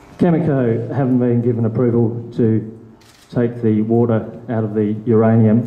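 With audible room echo, a man talks at a moderate pace in a monotone, flat intonation. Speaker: local Greens party convener. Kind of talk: public meeting question. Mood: concerned, earnest. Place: meeting room. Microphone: handheld.

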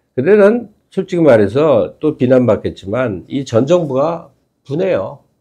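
A dark, mellow voice with vocal fry and very wide pitch swings at a fairly slow pace, against a quiet background. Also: man. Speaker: political commentator. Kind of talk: casual chat. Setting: studio. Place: studio. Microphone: lapel.

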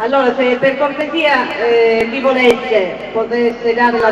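A woman's high voice, fairly even in intonation and fairly slow in pace, with noticeable background noise. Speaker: Senate candidate and business owner. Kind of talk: political rally speech. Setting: outdoor stage with audience. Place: street.

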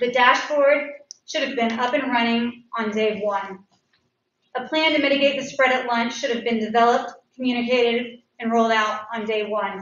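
There is audible room echo as a woman with a high pitch talks at a moderate pace with fairly even intonation. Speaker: parent giving public comment. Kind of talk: public comment at school board meeting. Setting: public meeting. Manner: unsteady voice. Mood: frustrated but respectful. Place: hall.

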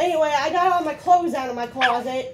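The intonation is lively, and there is noticeable noise in the background. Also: woman. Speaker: vlogger. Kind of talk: casual vlog chat. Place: home room. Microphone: phone near.

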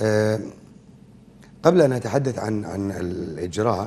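A man speaks very slowly, with light noise in the background. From Kuwait. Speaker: veteran broadcaster; TV guest. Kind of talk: interview; interview answer. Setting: studio. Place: studio. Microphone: lapel.

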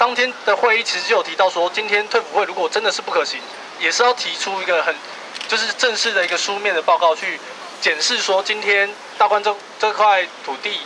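Over noticeable background noise, a man with a Taiwanese accent speaks at a fairly quick pace. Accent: Taiwanese Mandarin. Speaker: housing rights activist. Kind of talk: press conference statement. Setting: outdoors. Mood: serious, measured. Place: street. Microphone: handheld.

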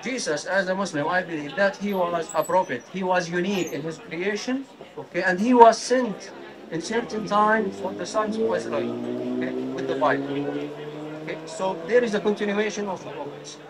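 At a moderate pace, a high-pitched man with an Arabic accent speaks with ordinary pitch variation over noticeable background noise. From Jordan. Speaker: member of the public debating a street preacher. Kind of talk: heated debate. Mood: earnest, argumentative. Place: street. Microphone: handheld.

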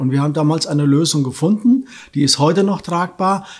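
A man speaks at a fairly quick pace against a quiet background. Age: 60s. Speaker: local election candidate; election candidate. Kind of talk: candidate interview; interview answer. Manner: hesitant fillers. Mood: firm, slightly dismissive. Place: studio.

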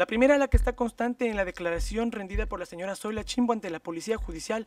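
A man's voice sounds dry with no echo against a quiet background. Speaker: state legal representative. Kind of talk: formal legal argument. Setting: public hearing. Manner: formal. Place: meeting room. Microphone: podium.

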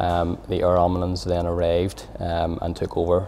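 Light background noise sits behind a man with a very deep, low voice talking at a moderate pace. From Northern Ireland, Belfast. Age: 30s. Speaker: cardiac arrest survivor, amateur footballer. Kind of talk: personal testimony. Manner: halting, many fillers and repetitions. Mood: calm, grateful.

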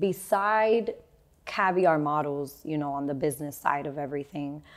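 This woman's very deep, low voice shows ordinary pitch variation. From Miami, Florida, Cuban-American family; Florida. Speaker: model agency founder and teacher; teacher. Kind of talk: casual interview. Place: studio. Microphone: lapel.

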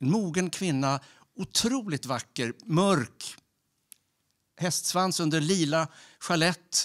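A man with a high voice at a very slow pace. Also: quiet background. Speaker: storyteller. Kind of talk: storytelling. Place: stage. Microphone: handheld.

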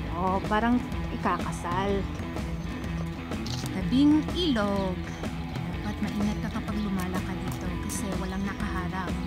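A woman talks with long, frequent pauses over loud music in the background. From Philippines. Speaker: vlogger, comedian. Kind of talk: casual talk to camera, park tour vlog. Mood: cheerful, joking. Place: garden. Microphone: phone near.

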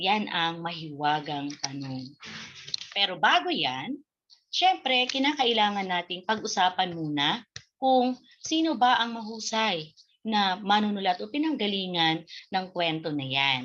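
Over a quiet background, a woman with a medium pitch speaks at a fairly slow pace, her pitch swinging very widely. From Bicol, Philippines (Daet, Camarines Norte); Bicol, Philippines. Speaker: Filipino literature teacher. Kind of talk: online lesson. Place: home room. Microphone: webcam.

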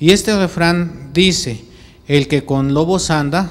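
Pitch varies in an ordinary way while the talking proceeds at a very slow pace. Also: man. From Mexico City. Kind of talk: homily. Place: church. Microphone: handheld.

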